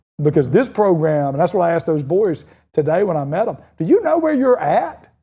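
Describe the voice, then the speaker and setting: A man's high-pitched voice with a Southern US accent, dark and mellow in tone, lively in intonation, at a fairly quick pace. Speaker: high school football coach. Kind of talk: interview. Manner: fast; animated.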